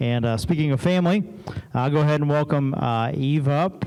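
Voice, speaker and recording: The voice moves at a moderate pace with ordinary pitch variation. Audible room echo surrounds it. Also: man. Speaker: pastor. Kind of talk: church announcements. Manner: hesitant, many fillers (uh).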